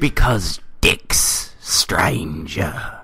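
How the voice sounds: A put-on character voice with a British accent, over light background noise. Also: man.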